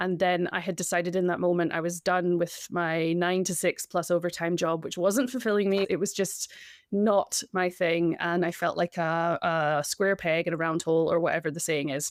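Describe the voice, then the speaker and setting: A Scottish accent at a moderate pace, with fairly even intonation and hardly any pauses, in a very clean recording with a silent background. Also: woman, fairly low pitch for a woman. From Scotland. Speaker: breathwork coach. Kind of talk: interview.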